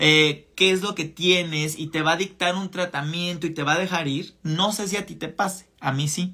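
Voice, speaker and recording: Speaking at a fairly slow pace, a man uses a high pitch, a bright, sharp tone and fairly even intonation. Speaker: podcast host and spiritual channeler. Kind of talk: live-streamed spiritual talk. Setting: live stream. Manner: warm and conversational. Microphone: voice distorts from laggy stream.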